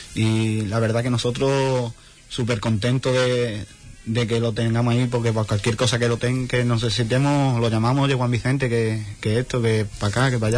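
His intonation is monotone and flat. The man speaks at a moderate pace and a medium pitch. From Huelva, Spain. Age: young. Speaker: float foreman. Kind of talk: radio interview.

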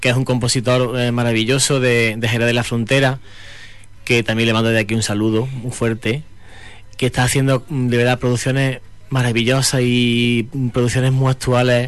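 Speaking at a moderate pace, a man uses a medium pitch and a flat, monotone intonation. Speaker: singer. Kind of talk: interview.

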